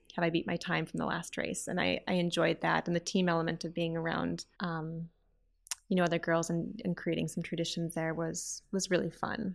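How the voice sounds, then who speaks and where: This very clean recording with a silent background carries a fairly quick voice in an Upper Midwest accent. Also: woman. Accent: Upper Midwest American. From Minnesota, US (Twin Cities). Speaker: grants and scholarships director. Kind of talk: interview.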